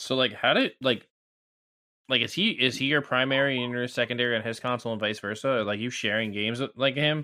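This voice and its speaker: His tone is bright and sharp. The man speaks at a fairly quick pace. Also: medium pitch for a man. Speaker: gamer podcast panelist. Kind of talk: casual chat. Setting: remote call. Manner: animated.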